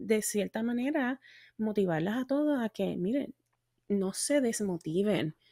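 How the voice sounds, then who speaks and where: A woman speaks at a fairly slow pace with a fairly high pitch and lively intonation, her voice dry with no echo against a quiet background. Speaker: voice teacher and singer. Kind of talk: interview conversation. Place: home room. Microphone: studio mic.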